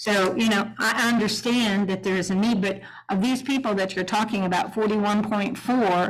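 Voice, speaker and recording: A woman's somewhat breathy voice with an American accent, medium in pitch, at a moderate pace with fairly even intonation. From Greenville, Ohio (US Midwest). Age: 70s. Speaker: city council member. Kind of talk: public meeting discussion.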